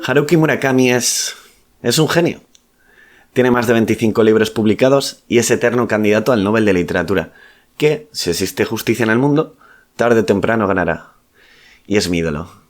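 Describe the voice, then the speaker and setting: Lively in intonation, a man speaks at a fairly quick pace yet leaves long, frequent pauses. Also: medium pitch for a man. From Basque Country. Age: young. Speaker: writer. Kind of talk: documentary voice-over narration.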